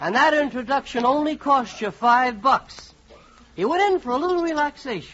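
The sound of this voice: This man uses a put-on character voice at an extremely high pitch, with a bright, sharp tone. He talks at a moderate pace with lively intonation.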